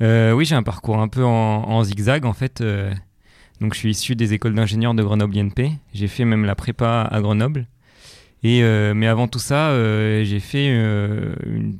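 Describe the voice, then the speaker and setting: A man with a medium pitch and fairly even intonation speaks at a moderate pace on a very clean recording with a silent background. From France, Vercors (Alps). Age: 20s. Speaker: long-distance hiker and engineer. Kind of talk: interview. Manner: hesitant, many fillers.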